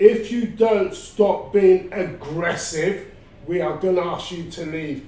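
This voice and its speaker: A man talks in a high voice amid noticeable background noise and audible room echo. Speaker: interviewee on health awareness. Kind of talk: interview testimony. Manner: loud.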